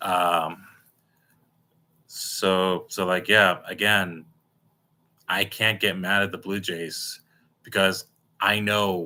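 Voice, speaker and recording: A man speaks with a very deep, low pitch and a bright, sharp tone in monotone, flat intonation. The recording is very clean, with a silent background. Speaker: sports fan streamer. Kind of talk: casual live stream reaction. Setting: live stream. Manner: halting, repetitive.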